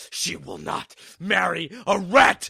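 A man in a put-on character voice, shouting at a very slow pace.

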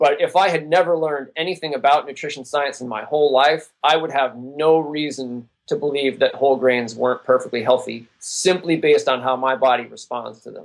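A normal speaking voice from a man, fairly high in pitch, at a fairly quick pace with fairly even intonation. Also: hardly any pauses. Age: 40s. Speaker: endurance athlete and sports nutrition writer. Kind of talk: interview.

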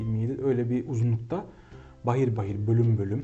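Fairly even in intonation, a man's medium-pitched voice moves at a moderate pace. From Kahramanmaraş, Turkey. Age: 20s. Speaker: music conservatory researcher. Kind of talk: interview. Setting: studio. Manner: hesitant with frequent fillers.

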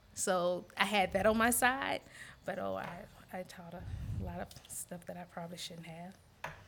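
Her pitch fairly low and marked by vocal fry, a woman speaks at a moderate pace with fairly even intonation. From US South, Montgomery, Alabama. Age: 40s. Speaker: teacher and gym member. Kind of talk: casual discussion.

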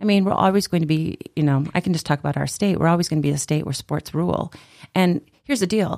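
Speaking very fast with an Upper Midwest accent, a woman uses a fairly low voice with ordinary pitch variation, the sound dry and close with no echo on a very clean recording with a silent background. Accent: Upper Midwest American. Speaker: storytelling event organizer and teacher. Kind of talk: casual interview.

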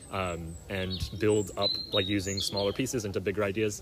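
Music plays in the background while a man talks in a fairly low pitch. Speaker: podcast host. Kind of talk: casual chat. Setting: outdoors.

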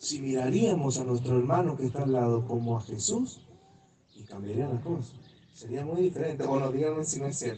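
A man speaks fairly quickly amid noticeable background noise, with audible room echo. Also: medium pitch for a man, ordinary pitch variation. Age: 30s. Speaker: visiting preacher. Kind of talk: sermon.

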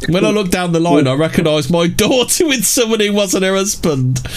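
Lively intonation in a British accent, a fairly quick pace, and music in the background. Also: man. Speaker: livestream host. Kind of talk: casual banter on a livestream, with reading aloud of articles. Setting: live stream with chat. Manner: profane, joking.

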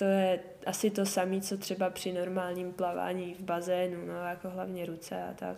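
A woman talks at medium pitch and a moderate pace. Her intonation is monotone and flat, with audible room echo. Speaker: winter swimmer. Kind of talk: interview. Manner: casual, filler-heavy speech.

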